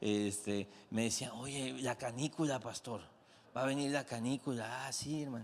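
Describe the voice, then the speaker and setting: A man talks at a middling speed. His voice sits at a mid pitch and varies in a normal way. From Mexico, Comalcalco, Tabasco. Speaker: pastor. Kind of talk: sermon. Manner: animated.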